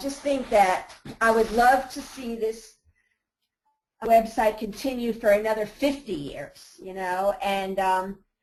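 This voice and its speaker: Her intonation is lively and her pitch fairly high. The woman speaks at a very slow pace. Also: big swings in loudness. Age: 60s. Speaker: website owner selling her business. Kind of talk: webinar Q&A. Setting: webinar audio bridge.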